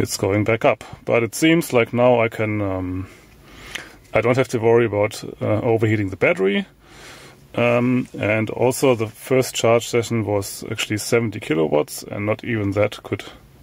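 A man talks at a moderate pace with ordinary pitch variation. The sound is dry with no echo. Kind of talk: casual vlog chat. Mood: relaxed, pleased. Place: car. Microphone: phone near.

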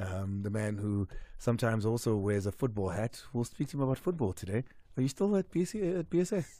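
A man with a dark, mellow tone speaks at a fairly quick pace with very wide pitch swings, the sound dry with no echo and the background quiet. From South Africa. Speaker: sports radio host. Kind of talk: live radio sports show. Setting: radio studio. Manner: animated. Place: studio. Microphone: studio mic.

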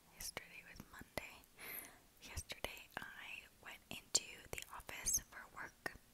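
A woman whispers at a very slow pace in a relaxed tone. Her loudness swings widely. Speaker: ASMR creator who works in human resources. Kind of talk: ASMR whisper ramble. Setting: lo-fi home recording. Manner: whispered, relaxed, rambling. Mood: relaxed, smiling. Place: home room. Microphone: earbuds.

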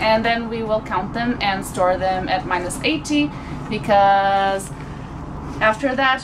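Noticeable background noise sits behind a woman talking at a fairly slow pace. Her pitch variation is ordinary. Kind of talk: casual vlog explanation. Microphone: phone near.

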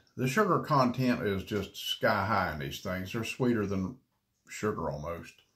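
His pitch swings very widely as a man talks at a moderate pace. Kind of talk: casual vlog chat. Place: home room. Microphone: phone near.

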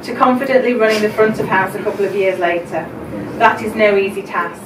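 Noticeable background noise sits behind a woman who speaks at a fairly quick pace with fairly even intonation. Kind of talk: celebration speech. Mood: warm, emotional, smiling. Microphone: camera far.

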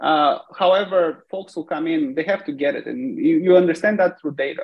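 Fairly quick, lively speech from a man with a high pitch, set against a quiet background. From Bulgaria. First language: Bulgarian. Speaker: tech company CEO; guest. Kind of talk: interview. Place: home room. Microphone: video call.

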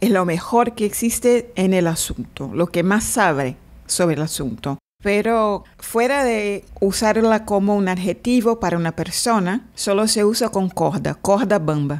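With a Portuguese accent, a woman speaks at a medium pitch and a fairly slow pace, her intonation lively and her loudness very even. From Brazil, Salvador, Bahia. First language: Portuguese (speaking Spanish). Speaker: translator and interpreter. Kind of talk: interview. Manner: halting.

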